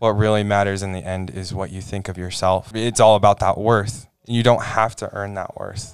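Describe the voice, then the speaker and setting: With music in the background, a man with an American accent speaks at a fairly low pitch and a moderate pace, flat and monotone in intonation, with big swings in loudness. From Idaho, US West. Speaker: student panel member. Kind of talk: casual chat.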